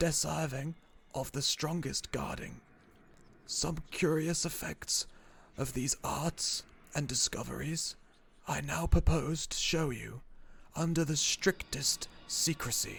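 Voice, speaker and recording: A man puts on a soft-spoken, shaky character voice at a fairly high pitch. He speaks at a fairly slow pace with long, frequent pauses. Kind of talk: horror narration. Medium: read story. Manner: archaic, formal.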